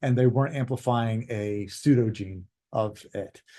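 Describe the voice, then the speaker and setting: With a dark, mellow tone, a man talks using ordinary pitch variation. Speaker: weed science researcher. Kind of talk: conference talk. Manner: fast.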